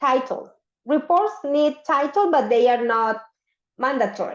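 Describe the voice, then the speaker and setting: A woman speaks in a plain, everyday voice. Her fairly slow pace comes with lively intonation. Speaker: English teacher. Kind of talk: online class lesson.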